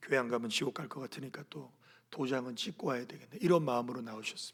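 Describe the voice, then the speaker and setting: Very fast speech with big swings in loudness and ordinary pitch variation. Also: man, medium pitch for a man. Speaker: senior pastor. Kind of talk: sermon. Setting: church service.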